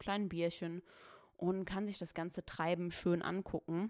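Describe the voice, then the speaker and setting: A woman has an unremarkable speaking voice, delivered at a moderate pace with fairly even intonation. The recording is very clean with a silent background. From Saarland, Germany (Saarbrücken). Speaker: podcast host. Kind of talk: casual solo podcast talk. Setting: home recording.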